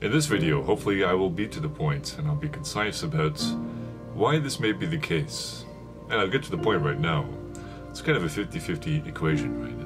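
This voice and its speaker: A man at a fairly quick pace, broken by long, frequent pauses, with music in the background. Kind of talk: casual talk to camera. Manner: soft-spoken, reflective.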